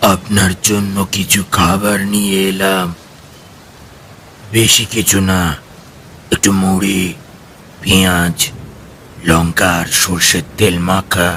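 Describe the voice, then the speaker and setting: Over clear background noise, a man uses a put-on, robotic character voice with very deep, low pitch, monotone, flat intonation and a very slow pace. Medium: audio drama. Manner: flat, expressionless, terse.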